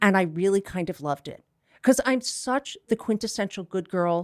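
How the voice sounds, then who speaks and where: In a normal speaking voice, a woman talks at medium pitch and a moderate pace with ordinary pitch variation, captured in a very clean recording with a silent background. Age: 60s. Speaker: psychotherapist and cancer advocate. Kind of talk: podcast interview.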